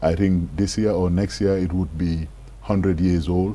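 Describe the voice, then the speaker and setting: This man speaks at a moderate pace in a very deep, low voice. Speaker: guest. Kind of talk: interview answer. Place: studio. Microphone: lapel.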